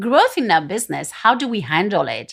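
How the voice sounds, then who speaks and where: In a very clean recording with a silent background, a woman with a French accent talks at a moderate pace with lively intonation. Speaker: business coach and speaker. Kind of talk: podcast monologue. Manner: halting, many fillers.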